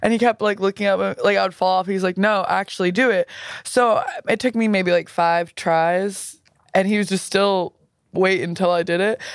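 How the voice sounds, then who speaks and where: A woman in a Southern California accent talks at a medium pitch and at a very even loudness. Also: fairly even intonation, moderate pace. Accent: Southern California valley girl. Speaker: musician and music video maker. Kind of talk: casual chat. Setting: studio, in person. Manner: laid-back, playful.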